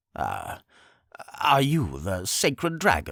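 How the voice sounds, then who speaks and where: A man's put-on character voice at a medium pitch and a very slow pace, in a very clean recording with a silent background. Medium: read story. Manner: subdued, detached.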